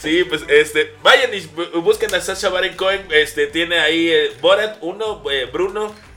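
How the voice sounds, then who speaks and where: This man has a high-pitched voice with ordinary pitch variation. He talks at a fairly slow pace. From Veracruz, Mexico. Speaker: comedian. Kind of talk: casual chat.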